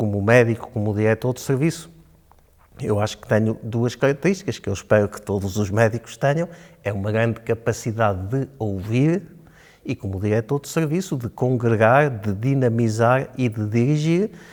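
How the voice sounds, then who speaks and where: At a moderate pace, a man talks at a medium pitch with ordinary pitch variation and big swings in loudness. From Portugal, Chaves (Trás-os-Montes). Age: 60s. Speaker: local election candidate, physician. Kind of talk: interview. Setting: studio. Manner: hesitant, with filler sounds.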